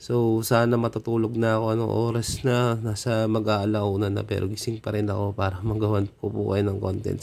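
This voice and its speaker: A man's medium-pitched voice, monotone with flat intonation. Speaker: coin collecting vlogger. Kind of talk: casual vlog talk. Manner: polite, frequent filler 'so'.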